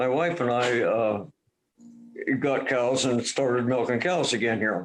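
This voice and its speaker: Music plays behind a voice in an American accent at very even loudness. The pace is fairly slow, with ordinary pitch variation. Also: man, medium pitch for a man. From Duvall, Washington, US Pacific Northwest. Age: 70s. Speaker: retired dairy farmer. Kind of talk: oral history interview. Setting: video call. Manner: halting.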